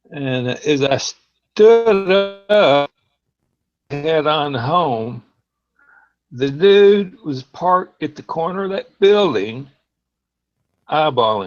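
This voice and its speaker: A man's fairly high, relaxed voice at a very slow pace, with very wide pitch swings, big swings in loudness and long, frequent pauses. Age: 60s. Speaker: call-in participant on a livestream. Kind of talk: casual chat, personal story. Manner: relaxed, with hesitations.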